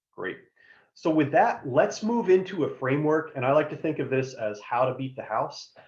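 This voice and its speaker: Somewhat breathy, a man's fairly high voice carries lively intonation. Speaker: career advisor. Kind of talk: workshop presentation. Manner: fast.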